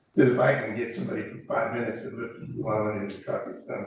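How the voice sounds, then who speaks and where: A man speaks with audible room echo. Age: 80s+. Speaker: commercial fisherman. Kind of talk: public comment at council meeting. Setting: city council meeting room.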